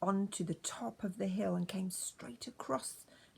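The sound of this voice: The speaker reads in an unforced reading voice with lively intonation.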